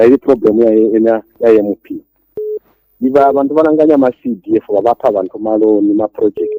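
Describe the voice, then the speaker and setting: Fairly quick speech from a man with a medium pitch, a dark, mellow tone, and ordinary pitch variation, in a dry, close sound with no echo. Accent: Zambian. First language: Tonga. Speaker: caller. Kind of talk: radio phone-in call.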